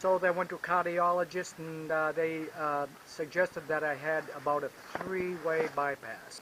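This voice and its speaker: Noticeable background noise accompanies a man whose fairly high voice has monotone, flat intonation. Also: moderate pace. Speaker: retired senior skier. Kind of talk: interview testimony.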